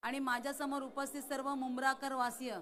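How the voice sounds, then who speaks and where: A woman speaks in a high pitch. Audible room echo surrounds her voice. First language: Marathi (speaking Hindi). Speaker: election candidate. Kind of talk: political rally speech. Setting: stage with audience.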